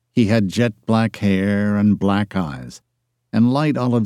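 Over a quiet background, the voice is reading aloud in a natural voice with fairly even intonation.

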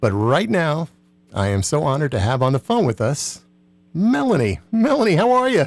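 Music plays behind a man with an American accent and fairly high pitch for a man. He speaks at a moderate pace with very wide pitch swings and very even loudness. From New Jersey. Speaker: radio host. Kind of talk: radio interview. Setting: studio.

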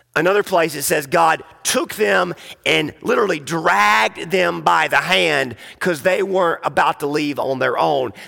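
His delivery is rather slow, and a man's intonation rises and falls in a lively way. Background noise is clearly audible throughout. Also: very even loudness. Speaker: pastor. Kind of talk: sermon. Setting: church. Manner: frequent filler words.

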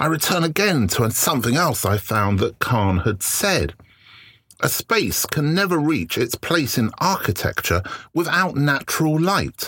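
Speaking fairly slowly at a very even volume, a man with a fairly high, bright, sharp voice and vocal fry swings very widely in pitch. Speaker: photography podcast host and lecturer. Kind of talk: solo reflective monologue. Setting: recording in his shed. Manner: hesitant, many filler words.

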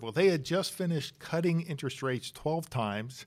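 A man with an American accent has a normal speaking voice and ordinary pitch variation. He speaks at a moderate pace on a very clean recording with a silent background. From Pennsylvania, Bucks County. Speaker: chief investment officer. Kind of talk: interview.

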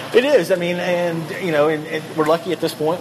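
Noticeable background noise runs through the clip. A man talks at a moderate pace. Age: 40s. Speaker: brewery owner. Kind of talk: casual interview. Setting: on location at a brewery. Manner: halting.

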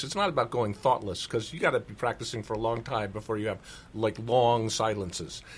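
Speech at a fairly quick pace comes in a somewhat breathy voice. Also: man. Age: 60s. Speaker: speaker and author. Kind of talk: interview about his talks and practice.

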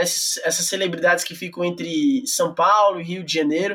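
Speech moves at a moderate pace. The pitch shows ordinary variation. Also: man. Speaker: podcast host. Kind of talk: interview.

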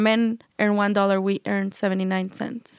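A woman with a medium pitch speaks at a fairly slow pace in a monotone, flat intonation, on a very clean recording with a silent background and a dry, close sound with no echo. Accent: Mexican. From Chihuahua, Mexico. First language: Spanish. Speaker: entrepreneur. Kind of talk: interview. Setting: studio.

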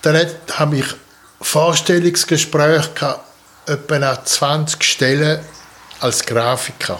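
With a strong Swiss German accent, a man speaks very slowly at a fairly high pitch, his loudness very even, his intonation fairly even, and his pauses long and frequent. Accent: broad Swiss German dialect. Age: 70s. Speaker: artist and sculptor, retired. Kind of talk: interview about life story.

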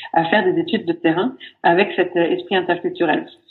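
A woman's voice, fairly low-pitched. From Sweden, raised in France from age 9. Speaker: business ethnologist, sociologist. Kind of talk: interview. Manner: hesitant, many fillers.

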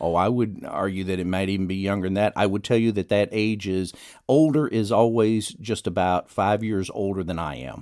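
With an American accent and a plain, everyday voice, a man talks at a moderate pace in a fairly low pitch with ordinary pitch variation on a very clean recording with a silent background. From Texas, Dallas area. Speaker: economist and public policy professor. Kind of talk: radio interview.

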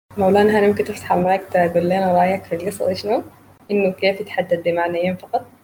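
A woman's medium-pitched voice in a Sudanese accent, monotone and flat, fairly quick, with very even loudness and noticeable background noise. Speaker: session host and poetry reader. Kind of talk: poetry reading and moderating a literary evening. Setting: online video call with audience.

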